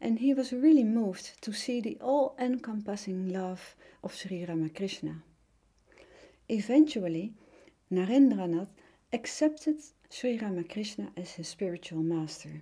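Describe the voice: A dark, mellow tone with a Dutch accent, lively intonation, big swings in loudness and long, frequent pauses. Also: woman, medium pitch for a woman, moderate pace.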